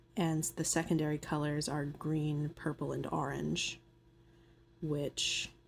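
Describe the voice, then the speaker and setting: Soft-spoken and very deep and low in pitch, a woman talks at a very slow pace with fairly even intonation. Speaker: nail artist. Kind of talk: tutorial voiceover. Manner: soft-spoken, ASMR style.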